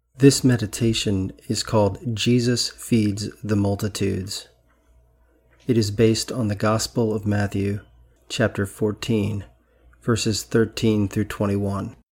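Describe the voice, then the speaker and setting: A man speaks at a very slow pace in a gentle, calm tone, with a fairly low, somewhat breathy pitch. His intonation is monotone and flat, and the recording is very clean with a silent background. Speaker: Episcopal priest. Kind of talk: guided meditation, with an opening prayer. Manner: slow, calm, soothing, with long pauses; gentle, hushed, unhurried.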